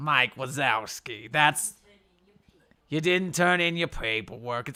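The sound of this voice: A man puts on a raspy, guttural character voice, fairly high in pitch. He delivers it at a fairly slow pace.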